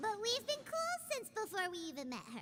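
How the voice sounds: A woman's cartoonish character voice, extremely high-pitched, fairly bright in tone, with very wide pitch swings at a fairly quick pace.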